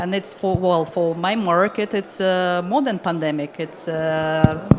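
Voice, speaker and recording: A woman talks in a fairly low pitch with ordinary pitch variation. Noticeable background noise runs behind her. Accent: Russian. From Russia. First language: Russian. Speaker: immigration consultant. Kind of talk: panel discussion. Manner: halting.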